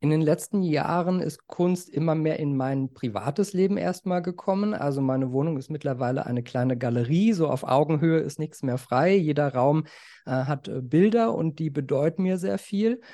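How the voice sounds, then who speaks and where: Lively in intonation and dark, mellow in tone, a man talks at a moderate pace against a quiet background. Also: fairly high pitch for a man. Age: 40s. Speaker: art collector and finance journalist. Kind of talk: casual interview.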